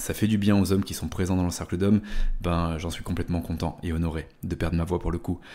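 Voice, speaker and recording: A man speaks at a fairly quick pace. His tone is dark and mellow, with fairly even intonation. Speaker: men's coach and podcast host. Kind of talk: solo podcast monologue. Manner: hesitant fillers, conversational.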